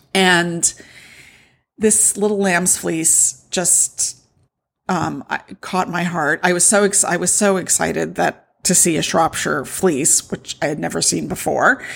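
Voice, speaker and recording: Vocal fry from a woman with a fairly low pitch, at a fairly slow pace. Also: ordinary pitch variation, very clean recording, silent background. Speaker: podcast host and wool shop owner. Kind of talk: casual solo podcast talk. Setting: home recording with noisy cats. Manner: animated.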